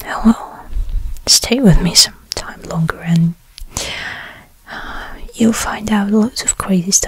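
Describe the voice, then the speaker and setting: At a very slow pace, the speaker delivers every word in a whisper. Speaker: role-play host. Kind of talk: soft role-play chat to viewer. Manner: soft-spoken, close-mic ASMR voice. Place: home room. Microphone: studio mic.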